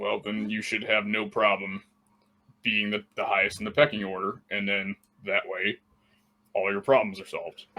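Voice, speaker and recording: Putting on a character voice, a man speaks at a fairly low pitch and a moderate pace, with long, frequent pauses. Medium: actual play. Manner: blunt, plainspoken.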